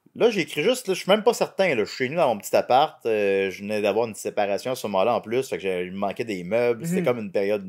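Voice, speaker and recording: A man with a Quebec accent at a very fast pace, medium pitch and very wide pitch swings, over a quiet background. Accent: Québécois French. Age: 30s. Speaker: comedian. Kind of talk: casual chat. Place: home room. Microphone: studio mic.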